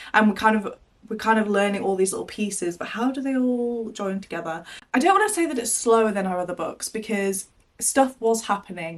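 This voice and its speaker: In a plain, everyday voice, a woman with a fairly high pitch talks fairly quickly with ordinary pitch variation. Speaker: book vlogger. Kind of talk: casual vlog talk to camera. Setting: in her wardrobe.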